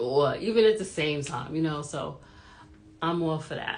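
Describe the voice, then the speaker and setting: Audible room echo carries a woman's very deep, low voice, delivered in an animated tone. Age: 40s. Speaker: YouTube commentary vlogger. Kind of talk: casual vlog commentary.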